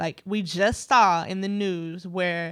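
In a plain, everyday voice, a woman with an American accent speaks at medium pitch with fairly even intonation, on a very clean recording with a silent background. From US Midwest. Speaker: podcast co-host. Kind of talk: casual chat.

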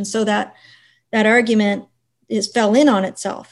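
On a very clean recording with a silent background, a woman talks at a moderate pace. Her pitch sits fairly high. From western Prince Edward Island. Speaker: university dean, historian. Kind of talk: interview.

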